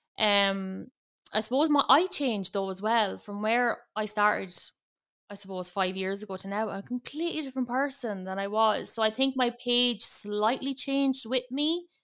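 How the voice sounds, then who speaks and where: Recorded very cleanly against a silent background, a woman's fairly high, bright, sharp voice moves at a moderate pace with ordinary pitch variation. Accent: strong Irish. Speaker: makeup artist and influencer. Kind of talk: casual chat.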